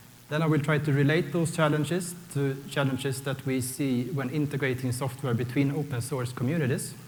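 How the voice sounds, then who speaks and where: The speaker, with a Swedish accent, moves at a fairly quick pace with fairly even intonation, and audible room echo surrounds the voice. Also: man. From Sweden. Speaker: software architect, conference speaker. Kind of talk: conference talk. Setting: stage with audience.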